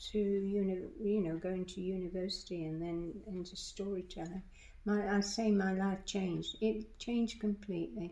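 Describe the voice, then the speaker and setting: A woman's voice carries a dark, mellow tone. Room echo can be heard around it. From England. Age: 80s+. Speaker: retired librarian and storyteller. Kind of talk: interview. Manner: halting, many false starts.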